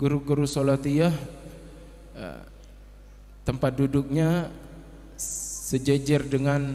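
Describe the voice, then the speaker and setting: Speaking fairly slowly in a fairly high pitch, a man delivers his words in a monotone, flat intonation, with audible room echo around him. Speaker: Islamic religious teacher. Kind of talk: religious sermon. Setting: Islamic boarding school gathering. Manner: halting.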